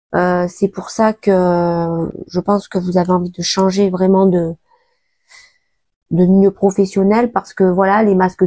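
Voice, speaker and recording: A woman's medium-pitched, dark, mellow voice, monotone and flat, at a very slow pace, with a dry, close sound and no echo. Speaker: tarot reader. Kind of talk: tarot reading. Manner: hesitant, many filler sounds.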